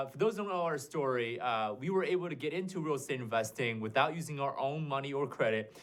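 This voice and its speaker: With a slight Asian accent, a man speaks with lively intonation. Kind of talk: business pitch, real estate.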